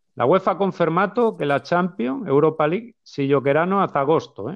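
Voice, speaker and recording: Speaking at a moderate pace, a man uses lively intonation at a fairly high pitch. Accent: Spanish. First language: Spanish (speaking Italian). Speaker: football podcast co-host. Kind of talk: casual chat. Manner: halting.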